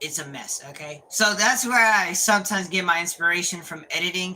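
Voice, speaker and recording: Noticeable background noise beneath speech at a moderate pace. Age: 20s. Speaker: gaming streamer. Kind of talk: casual live stream chat. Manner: halting, repeats words; animated.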